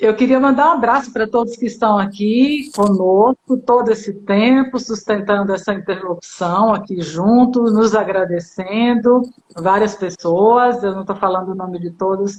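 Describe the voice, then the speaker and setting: A woman speaks at a fairly slow pace with fairly high pitch and ordinary pitch variation. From Bahia, Brazil. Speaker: psychoanalyst and live-stream host. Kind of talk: casual chat. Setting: online live stream.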